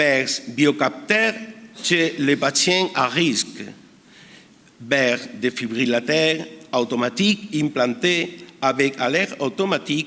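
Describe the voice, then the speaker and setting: Speaking very slowly with lively intonation, a man with a Spanish accent uses a fairly high pitch. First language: Spanish (speaking French). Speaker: emergency physician. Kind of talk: conference talk. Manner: halting.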